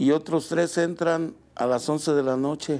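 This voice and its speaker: A man speaks at a very slow pace with a fairly high pitch. His pitch variation is ordinary. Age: 60s. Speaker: baker and bakery owner. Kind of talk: interview. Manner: halting.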